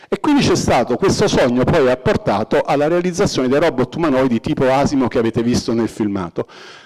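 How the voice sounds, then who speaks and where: Man talking at a very fast pace with lively intonation, very even loudness, hardly any pauses and noticeable background noise. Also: medium pitch for a man. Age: 60s. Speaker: robotics professor. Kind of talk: public lecture.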